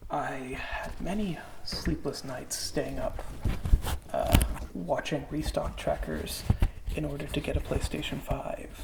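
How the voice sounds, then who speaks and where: Soft-spoken and relaxed in tone, the voice comes through over noticeable background noise. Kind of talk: ASMR unboxing, rambly casual talk. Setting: lo-fi ASMR microphone recording. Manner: soft-spoken, relaxed, rambling.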